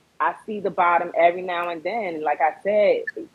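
This woman has an unremarkable speaking voice. Her pitch is medium and her intonation fairly even. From Fort Lauderdale, Florida. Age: 30s. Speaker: rapper and film director. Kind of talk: casual interview. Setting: Instagram live stream.

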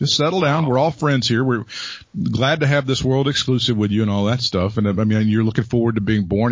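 Here a man talks at a medium pitch in a plain, everyday voice. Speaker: wrestling podcast host. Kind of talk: casual comedic banter.

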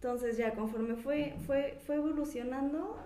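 A woman speaks at a very slow pace with a high pitch. Audible room echo and noticeable background noise surround her voice. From Mexico, Pachuca (Hidalgo). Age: 20s. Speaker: illustrator. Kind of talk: casual interview chat.

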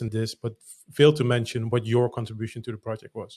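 A man speaks with a Dutch accent. His pitch sits in the medium range. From Netherlands.

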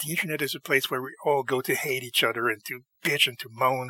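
A man talks at a fairly quick pace in a medium pitch with a bright, sharp tone, the sound dry and close with no echo.

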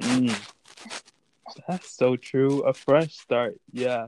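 Recorded with a dry, close sound and no echo, a man has an unremarkable speaking voice with medium pitch and fairly even intonation. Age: 20s. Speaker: podcast co-host. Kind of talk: casual chat.

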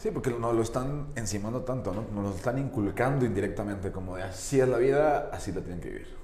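Words come at a very fast pace with hardly any pauses and ordinary pitch variation, and audible room echo fills the space. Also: man, medium pitch for a man. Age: 20s. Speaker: interview podcast host. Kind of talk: casual interview chat.

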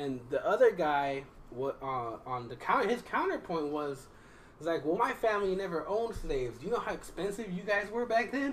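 The speaker moves at a fairly quick pace. Noticeable background noise runs underneath. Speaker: podcast host. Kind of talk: casual chat. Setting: live stream. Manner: joking.

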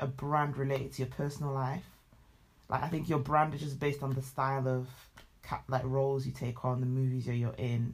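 A fairly quick pace with a British accent, in a very clean recording with a silent background. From Britain, Nigerian heritage. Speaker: podcast co-host. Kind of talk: casual chat. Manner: fast, with many fillers and restarts.

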